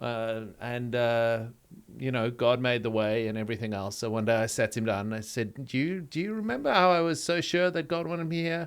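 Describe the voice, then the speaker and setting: A man with a South African accent talks at a fairly quick pace in a medium pitch, his intonation lively, on a very clean recording with a silent background. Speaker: pastor. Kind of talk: interview conversation.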